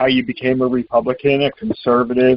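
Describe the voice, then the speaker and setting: A man talks at a moderate pace in an ordinary speaking voice. His pitch is medium. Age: 60s. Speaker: political talk show host. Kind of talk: call-in political talk show.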